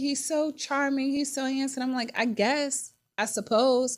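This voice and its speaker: On a very clean recording with a silent background, a woman with a Virginia accent speaks in an animated tone. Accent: country Virginia. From Virginia, US. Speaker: podcast host. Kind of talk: casual personal monologue. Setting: studio.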